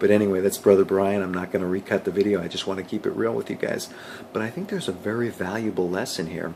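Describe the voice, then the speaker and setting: At a very fast pace, a man speaks in a fairly low voice with fairly even intonation. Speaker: motivational vlogger. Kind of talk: motivational talk to camera.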